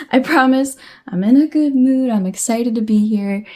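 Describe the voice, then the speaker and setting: Lively intonation from a woman against noticeable background noise. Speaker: tarot reader. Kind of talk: tarot reading.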